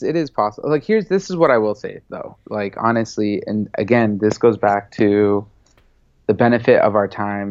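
With an American accent, a man talks at a moderate pace in a fairly low voice with a slightly mellow tone and ordinary pitch variation.

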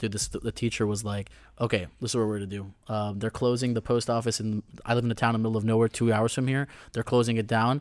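A man talks very fast. His pitch sits in the medium range. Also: very clean recording, silent background. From Dominican Republic. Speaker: store owner. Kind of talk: casual chat. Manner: animated.

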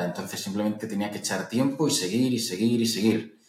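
A man with an ordinary speaking voice, fairly low in pitch, with fairly even intonation. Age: 30s. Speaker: entrepreneur and investor. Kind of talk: interview.

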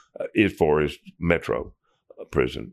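Against a quiet background, a man with a Tennessee accent speaks with a very deep, low pitch and vocal fry. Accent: Tennessee Southern US. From Nashville, Tennessee. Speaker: prison ministry volunteer mentor. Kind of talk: interview. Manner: halting.

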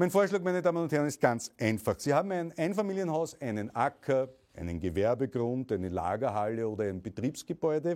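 With an Austrian accent, a man speaks at a fairly quick pace with hardly any pauses. His medium pitch swings very widely. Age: 40s. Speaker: political activist and entrepreneur. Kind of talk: political speech. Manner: formal.

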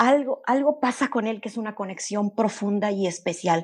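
A woman's ordinary speaking voice, moderate in pace and lively in intonation, over a quiet background. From Mexico (Veracruz, later Monterrey). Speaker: animal communicator. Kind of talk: interview, storytelling.

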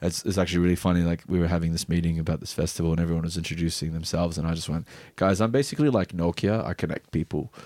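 A man with a very deep, low voice speaks at a very fast pace with ordinary pitch variation, a dark, mellow tone and hardly any pauses. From Bahrain. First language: Arabic. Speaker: DJ and music producer. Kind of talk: casual chat. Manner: fast talker.

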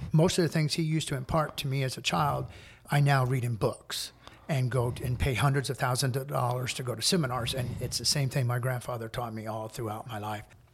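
With a somewhat breathy voice and an American accent, a man talks at a fairly quick pace, medium in pitch with ordinary pitch variation, on a very clean recording with a silent background. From US Midwest, small-town Indiana. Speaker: interior designer. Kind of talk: casual interview. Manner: direct, straightforward.

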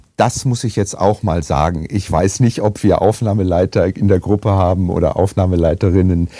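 The voice has a dark, mellow tone, ordinary pitch variation and very even loudness, moving at a moderate pace with hardly any pauses. The recording is very clean, with a silent background. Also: man, very deep, low pitch for a man. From Germany, Essen (Ruhr area). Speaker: actor and voice actor. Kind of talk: casual chat.

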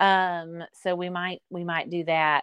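Very slowly and at a fairly low pitch, a woman talks with a Southern US accent in a dry, close sound with no echo and a quiet background. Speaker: travel agent guest. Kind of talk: casual chat.

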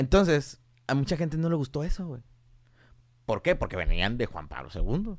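Moderate pace from a man with a fairly high pitch, very wide pitch swings, big swings in loudness and long, frequent pauses. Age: 20s. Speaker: mechatronics engineer. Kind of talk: casual chat.

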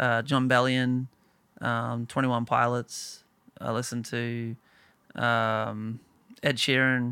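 On a very clean recording with a silent background, a man with an Australian accent and a bright, sharp tone speaks at medium pitch and a very slow pace, with monotone, flat intonation and long, frequent pauses. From small town in Australia. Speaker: singer-songwriter. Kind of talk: casual chat.

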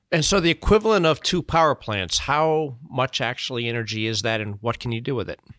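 Medium in pitch with very wide swings, a man talks at a fairly quick pace with hardly any pauses, the sound dry and close with no echo. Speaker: podcast host. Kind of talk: interview.

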